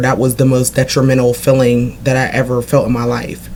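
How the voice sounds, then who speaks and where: With music in the background, a woman with an American accent and a very deep, low pitch speaks at a moderate pace. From Pennsylvania, US. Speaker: vlogger. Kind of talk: casual monologue vlog. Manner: halting, with false starts.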